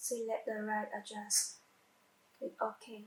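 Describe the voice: A woman speaks at a slow pace in a monotone, flat intonation. Her pitch is medium, and the room echo is audible.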